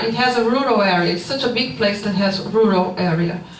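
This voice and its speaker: Speech with a Brazilian Portuguese accent and ordinary pitch variation, with noticeable background noise and audible room echo. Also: woman. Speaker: researcher. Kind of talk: conference presentation. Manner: partly reading, hesitant.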